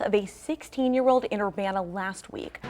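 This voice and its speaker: Noticeable background noise sits under a woman talking with an American accent. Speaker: morning news anchor. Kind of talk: TV news anchor read. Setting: TV studio.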